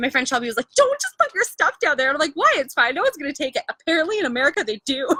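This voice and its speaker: Raising and projecting her bright, sharp, high-pitched voice, a woman with a Canadian accent rushes along at a very fast pace with hardly any pauses and very wide pitch swings. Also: dry, close sound with no echo. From Canada. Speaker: lifestyle livestreamer. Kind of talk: casual chat. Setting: livestream.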